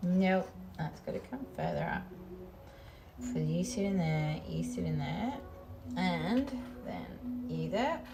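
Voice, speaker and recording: Music plays in the background of an echoey room as the speaker talks at a very slow pace with long, frequent pauses. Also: woman. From Australia. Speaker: crafting streamer. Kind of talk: casual live-stream chat while crafting. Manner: animated.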